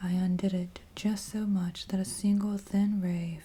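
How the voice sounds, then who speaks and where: Soft-spoken and gentle in tone, a man talks fairly slowly in a high pitch with flat, monotone intonation. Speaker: ASMR creator. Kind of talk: dramatic horror story reading. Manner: gentle, soft-spoken.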